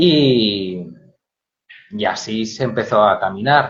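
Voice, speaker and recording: A man speaks with a Spanish accent. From Spain. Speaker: storyteller. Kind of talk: interview. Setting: Instagram live video call.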